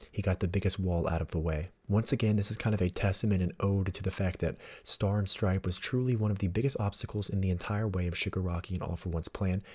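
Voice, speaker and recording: A quiet, somewhat breathy man talks at a very fast pace in a fairly low voice with a dark, mellow tone, on a very clean recording with a silent background. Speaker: manga analysis YouTuber. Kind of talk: casual talk to camera.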